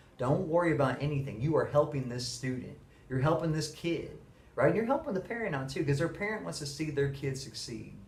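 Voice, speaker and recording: A man talks at a fairly quick pace with a fairly high pitch. Room echo is audible. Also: ordinary pitch variation. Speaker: middle school teacher. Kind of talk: monologue to camera. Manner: fast.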